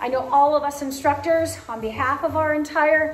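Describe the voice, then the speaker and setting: A woman's voice, faint music playing behind it. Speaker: fitness instructor. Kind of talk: closing remarks to online class. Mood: warm, grateful. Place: gym. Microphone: camera far.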